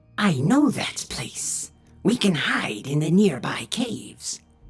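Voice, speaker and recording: Put on as a character voice, this middle-pitched delivery moves at a fairly slow pace with very wide pitch swings. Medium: read story.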